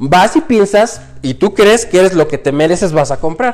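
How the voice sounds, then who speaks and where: Music plays in the background. Over it, a man speaks with a high pitch. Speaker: airline pilot turned entrepreneur. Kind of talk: casual chat. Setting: living room at home.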